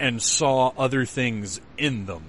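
Speaking at a slow pace, a man has a bright, sharp tone.

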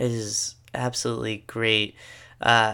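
This man has a bright, sharp tone and an American accent. His intonation stays monotone and flat. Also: very clean recording, silent background. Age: 20s. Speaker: podcast host, seminarian. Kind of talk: solo podcast monologue. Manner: casual, filler-heavy.

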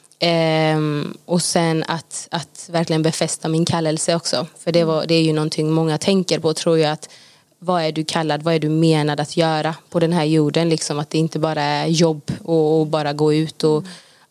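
The delivery is monotone, with flat intonation and a moderate pace. There are hardly any pauses. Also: woman, very deep, low pitch for a woman. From Gothenburg, Sweden. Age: 20s. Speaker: Bible school student. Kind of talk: casual interview.

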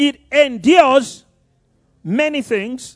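This man speaks in a Nigerian accent. His pitch is extremely high. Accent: Nigerian (Yoruba) English. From Nigeria (Yoruba). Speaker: pastor. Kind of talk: sermon.

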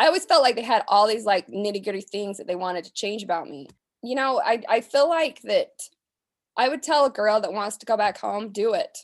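A woman with a plain, everyday voice and an American accent speaks at a fairly quick pace with a fairly high pitch. Her intonation is lively, her loudness swings widely, and the recording is very clean with a silent background. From US West, southern Utah. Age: 30s. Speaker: rancher. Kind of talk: interview.

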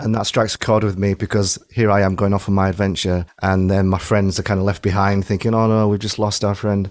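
A man with a Yorkshire accent talks at a fairly quick pace in a fairly low pitch, with hardly any pauses. His intonation is monotone and flat, and his loudness stays very even. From Yorkshire, England. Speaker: singer-songwriter. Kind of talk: casual chat.

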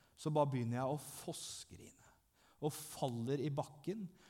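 The voice is dark and mellow, somewhat breathy, with ordinary pitch variation at a fairly slow pace. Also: man. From southern Norway (Langesund). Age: 30s. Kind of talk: testimony in church. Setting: church.

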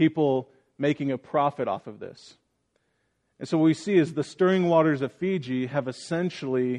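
Against a quiet background, a man talks at a moderate pace in a plain, everyday voice, fairly high in pitch with ordinary pitch variation. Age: 30s. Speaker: pastor. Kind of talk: sermon.

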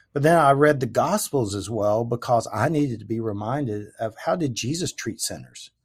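On a very clean recording with a silent background, a man with a Southern US accent speaks at a moderate pace and medium pitch, somewhat breathy, with ordinary pitch variation and hardly any pauses. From US South, Memphis, Tennessee. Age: 50s. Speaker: former pastor. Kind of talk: testimony in interview. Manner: halting, many fillers.

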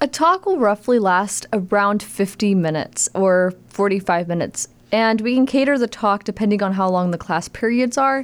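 A woman with an American accent uses a normal speaking voice at a medium pitch, speaking at a moderate pace with hardly any pauses, very even loudness, and ordinary pitch variation. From Texas, Tyler. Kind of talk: radio interview. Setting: studio.

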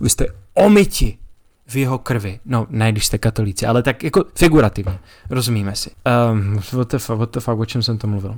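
In a very clean recording with a silent background, a man speaks fairly quickly in a somewhat breathy, medium-pitched voice with ordinary pitch variation. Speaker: podcast host. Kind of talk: solo podcast monologue on religious history. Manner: casual, profane banter.

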